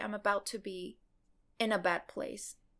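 On a very clean recording with a silent background, a woman speaks at a fairly slow pace in a Spanish accent. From Mexico, Cancun. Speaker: animation showrunner. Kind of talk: casual interview. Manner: hesitant, many fillers.

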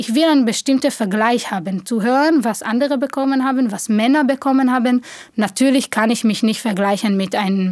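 A woman's high voice with an Israeli accent, ordinary pitch variation and a fairly quick pace. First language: Hebrew (speaking German). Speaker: theatre director. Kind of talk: interview.

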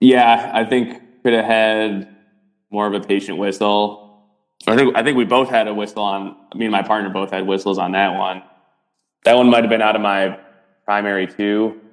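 Music plays behind a man whose fairly low, flat, monotone voice moves at a moderate pace, broken by long, frequent pauses. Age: 20s. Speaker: basketball referee. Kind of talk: casual chat.

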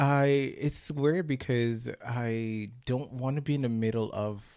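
A man with a slight West Indian accent speaks at a very slow pace in a dark, mellow tone. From West Indies. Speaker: hospital unit assistant. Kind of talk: casual interview chat. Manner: feminine-sounding speech.

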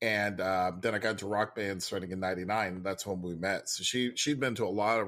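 With an ordinary speaking voice, a man talks at a fairly low pitch and with fairly even intonation. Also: very clean recording, silent background. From Puerto Rico and San Antonio, Texas. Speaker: improv performer and teacher. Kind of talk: casual interview conversation.

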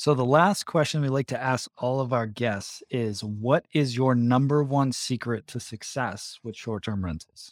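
An ordinary speaking voice, this man's medium-pitched speech has lively intonation and a dry, close sound with no echo. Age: 30s. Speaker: podcast host, real estate investor. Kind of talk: casual interview.

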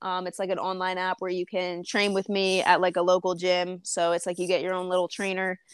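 This woman talks at a fairly quick pace with an American accent, medium pitch, monotone, flat intonation and hardly any pauses. The sound is dry and close with no echo, and the recording is very clean over a silent background. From Frederick, US (Maryland). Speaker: performance trainer and gym owner. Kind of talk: casual interview.

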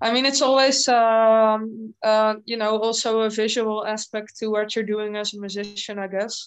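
The speaker talks in a monotone with flat intonation and a Dutch accent. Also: woman, fairly high pitch for a woman, moderate pace. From Netherlands. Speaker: heavy metal singer. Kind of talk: casual interview.

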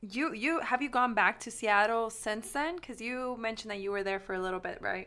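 A woman's fairly high, bright, sharp voice at a fairly quick pace, with ordinary pitch variation and hardly any pauses. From Mexico, raised in Dodge City, Kansas. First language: Spanish. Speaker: podcast co-host. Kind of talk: casual chat.

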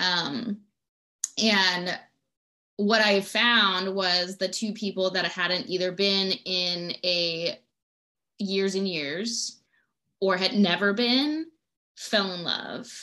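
A woman speaks at a very slow pace, leaving long, frequent pauses. Her voice is medium in pitch with ordinary pitch variation and a bright, sharp tone. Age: 30s. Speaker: retreat organizer and small business owner. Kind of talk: casual chat.

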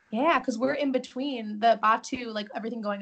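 At a moderate pace, a woman talks in an American accent with a somewhat breathy voice. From Chicago suburbs, Illinois. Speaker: theme park guest services worker. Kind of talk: casual chat.

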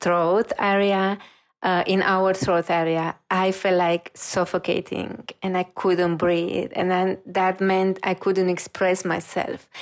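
Here a woman talks very slowly at medium pitch. She has a Romanian accent. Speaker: reiki practitioner and intuitive. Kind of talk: interview. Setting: video call.

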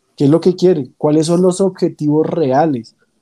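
His dark, mellow tone sits at a fairly high pitch for a man, and the pitch moves in an ordinary way. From Colombia. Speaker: football fan. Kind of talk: casual chat. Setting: online call.

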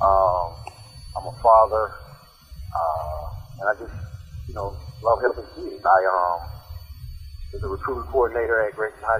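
A man with a fairly low pitch, ordinary pitch variation, big swings in loudness, and long, frequent pauses, over noticeable background noise. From South Florida. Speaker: high school football coach and recruiter. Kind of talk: interview. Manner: halting.

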